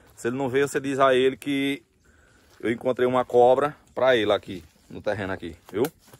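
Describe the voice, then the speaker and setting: Dry sound with no echo carries a man talking at a fairly quick pace with ordinary pitch variation. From rural Northeast Brazil (sertão). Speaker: construction vlogger. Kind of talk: casual vlog. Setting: outdoors. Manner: animated. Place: open country. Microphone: phone near.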